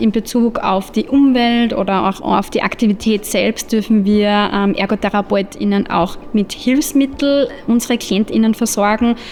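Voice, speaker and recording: Against noticeable background noise, a woman with a fairly high pitch talks at a fairly slow pace with hardly any pauses and ordinary pitch variation. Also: very even loudness. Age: 20s. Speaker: occupational therapist and lecturer. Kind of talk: interview.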